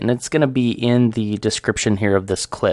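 A man talks in an ordinary speaking voice at a medium pitch and moderate pace. The sound is dry and close with no echo, against a quiet background. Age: 30s. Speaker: podcaster. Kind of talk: casual solo talk show monologue.

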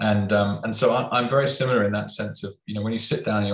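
A man with a British accent talks at a fairly quick pace. His fairly low voice shows ordinary pitch variation. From UK. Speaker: podcast host. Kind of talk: interview.

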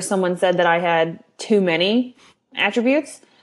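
A Californian accent at a moderate pace with ordinary pitch variation. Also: woman. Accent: Californian American. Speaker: copy editor. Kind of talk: casual panel discussion.

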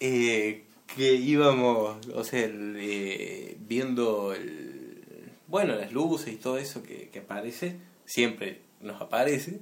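At a very slow pace, a man speaks in a medium pitch with ordinary pitch variation and big swings in loudness, with audible room echo around him. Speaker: amateur radio show co-host. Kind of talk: casual joking chat.

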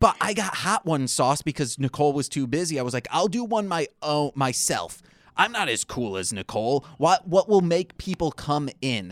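A man with an American accent, fairly high pitch and very wide pitch swings, at a moderate pace with hardly any pauses, on a very clean recording with a silent background and a dry, close sound with no echo. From Michigan, US. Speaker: podcaster and music producer. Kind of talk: casual chat.

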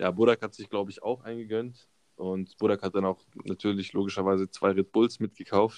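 A man's fairly low, monotone voice at a fairly quick pace, with big swings in loudness, in a dry, close sound with no echo. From Baden-Württemberg, Karlsruhe area. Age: 20s. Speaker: mechanical engineering student. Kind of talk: casual chat.

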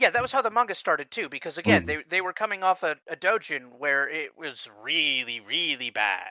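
Delivered at a moderate rate, the speech has hardly any pauses. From US Midwest, Kansas. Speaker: podcast co-host. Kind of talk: casual chat podcast.

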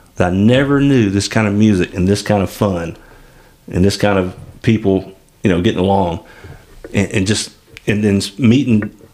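A man with a Southern US accent talks at a moderate pace in a fairly low pitch, his intonation fairly even. His loudness stays very even, broken by long, frequent pauses. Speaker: podcast host. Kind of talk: casual chat. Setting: studio.

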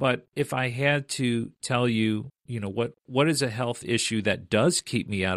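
A man talks in an ordinary speaking voice at a fairly slow pace, with ordinary pitch variation. The recording is very clean, with a silent background. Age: 40s. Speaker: woodworking YouTuber. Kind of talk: casual chat.

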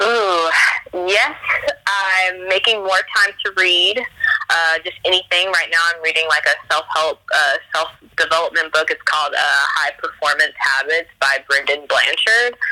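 Over noticeable background noise, a woman talks fairly slowly at a medium pitch with ordinary pitch variation. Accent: American. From US South. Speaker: kickboxing gym worker and radio personality. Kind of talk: casual interview.

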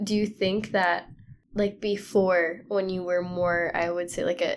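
A woman speaks in a normal speaking voice at medium pitch and a moderate pace. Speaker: podcast host. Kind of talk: casual conversation between friends, interview.

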